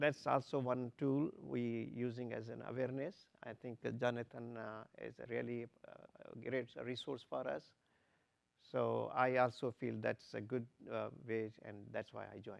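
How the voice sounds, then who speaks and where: A man with a Pakistani accent speaks at a moderate pace with big swings in loudness. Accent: Pakistani (Sindhi) English. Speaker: torture survivor, panelist. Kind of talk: panel discussion. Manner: halting.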